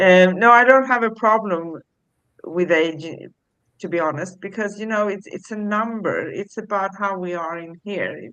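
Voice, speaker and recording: A woman talks in a normal speaking voice at medium pitch with ordinary variation. Her loudness swings widely. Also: moderate pace. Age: 60s. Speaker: spiritual talk show co-host. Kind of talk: casual chat.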